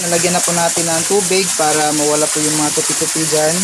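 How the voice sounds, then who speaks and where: The speaker is a man. Noticeable background noise and audible room echo come through. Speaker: fish-keeping YouTuber. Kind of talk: DIY tutorial.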